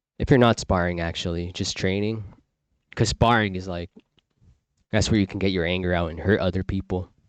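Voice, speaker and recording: A man's very deep, low voice at a fairly quick pace, with fairly even intonation, long, frequent pauses, a dry, close sound with no echo and a quiet background. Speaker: livestream talk host. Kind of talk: casual monologue. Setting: live stream. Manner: monotone.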